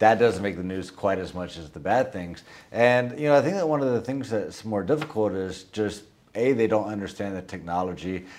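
A plain, everyday voice moves at a fairly quick pace with ordinary pitch variation and big swings in loudness. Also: man, fairly low pitch for a man. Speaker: podcast host. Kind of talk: interview conversation.

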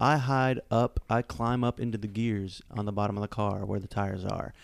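With a normal speaking voice at a medium pitch, a man talks with ordinary pitch variation in a dry, close sound with no echo. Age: 30s. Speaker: podcast co-host. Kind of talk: casual chat.

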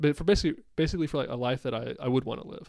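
A man's voice shows vocal fry and ordinary pitch variation. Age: 20s. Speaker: podcast host. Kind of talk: casual conversational interview.

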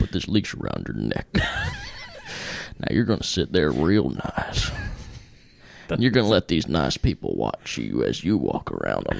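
Using a put-on character voice, a man growls out gruff, raspy words at a very deep, low pitch and a fairly slow pace. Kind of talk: trucker-style. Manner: condescending, as if to a dog.

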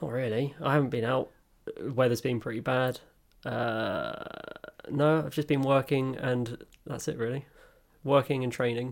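A man with a British accent speaks at a moderate pace and medium pitch, using fairly even intonation and long, frequent pauses. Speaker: podcast co-host. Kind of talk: casual chat.

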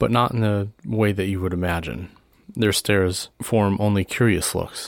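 The intonation hardly strays, staying fairly even. The words are read aloud in a natural voice.

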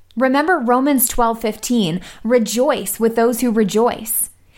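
A woman speaks at a high pitch. The recording is very clean, with a silent background. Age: 20s. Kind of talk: radio show with devotional talk.

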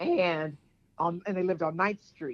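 The speaker has a plain, everyday voice and an American accent, talking at a fairly quick pace with fairly even intonation. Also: woman. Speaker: caller. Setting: phone call.

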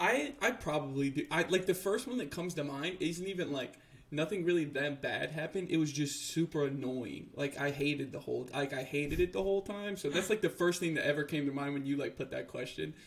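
A man with a normal speaking voice and an American accent talks at a fairly quick pace with hardly any pauses. His pitch is fairly high, with ordinary pitch variation. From United States. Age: 20s. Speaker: podcast co-host. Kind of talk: casual chat.

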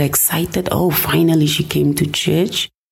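Noticeable background noise and audible room echo surround the recording. A woman speaks fairly slowly in a very deep, low voice. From southern Namibia. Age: 40s. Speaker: pastor. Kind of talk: personal testimony interview. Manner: halting, repeats words.

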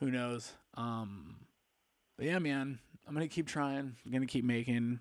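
A man with an American accent at medium pitch, with ordinary pitch variation and a fairly slow pace. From Palm Springs, California. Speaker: podcaster. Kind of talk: casual monologue. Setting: home recording into computer mic. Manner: laid-back, filler-heavy.

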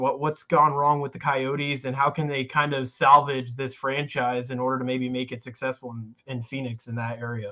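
The man has an ordinary speaking voice at a medium pitch with ordinary pitch variation. He talks at a moderate pace with hardly any pauses and big swings in loudness. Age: young. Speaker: sports podcast co-host. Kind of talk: casual chat.

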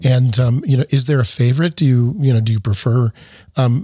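The voice has a dark, mellow tone and is somewhat breathy. It moves at a fairly quick pace with ordinary pitch variation. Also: man. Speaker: opera company director and podcast host. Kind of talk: casual interview.

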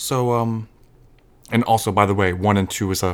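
A man's fairly low-pitched voice with fairly even intonation, on a very clean recording with a silent background. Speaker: podcast host. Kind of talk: solo commentary monologue. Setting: home recording on computer. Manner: halting, many fillers. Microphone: new mic, no headphone monitoring.

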